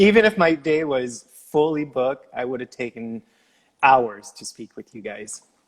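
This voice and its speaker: A Quebec accent with lively intonation at a moderate pace, in a dry, close sound with no echo. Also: man, medium pitch for a man, big swings in loudness. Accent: French Canadian accent in English. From Quebec, Canada. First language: French. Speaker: former Olympic figure skater. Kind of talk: casual interview chat.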